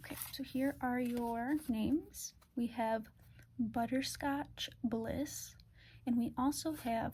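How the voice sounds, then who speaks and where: A soft-spoken woman is talking. Her pace is very slow. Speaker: ASMR artist doing a doctor roleplay. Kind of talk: ASMR roleplay, calm guided test.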